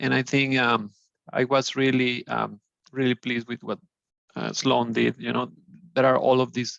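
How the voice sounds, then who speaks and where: Someone with a Spanish accent speaks with a dry, close sound and no echo. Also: man. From Mexico. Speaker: alumnus, engineer. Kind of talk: webinar panel discussion. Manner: halting, many fillers.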